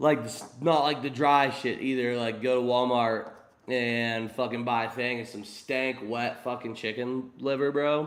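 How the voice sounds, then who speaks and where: An animated man with an American accent, medium in pitch, amid audible room echo. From Pittsburgh, Pennsylvania. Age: 20s. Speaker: streamer. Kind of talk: casual chat.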